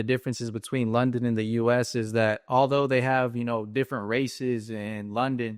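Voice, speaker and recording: Speaking in a North Carolina accent, a man keeps a moderate pace and a monotone, flat intonation. The sound is dry and close with no echo, over a quiet background. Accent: American, North Carolina. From US South, North Carolina. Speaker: comedy influencer. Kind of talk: casual interview chat.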